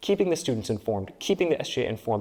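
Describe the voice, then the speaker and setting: Lively intonation marks this man's speech. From Peru and Dominican Republic. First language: Spanish. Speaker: student election candidate. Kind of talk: interview.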